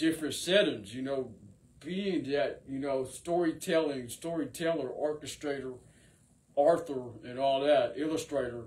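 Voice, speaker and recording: A man with an ordinary speaking voice, at a moderate pace and with ordinary pitch variation. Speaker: rapper and singer. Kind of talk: freestyle monologue to camera. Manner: rambling, filler-heavy delivery.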